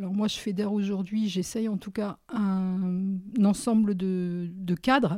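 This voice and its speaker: At a very slow pace, a dark, mellow voice comes through in a very clean recording with a silent background. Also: woman. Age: 60s. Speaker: social care manager and trainer. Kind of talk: interview.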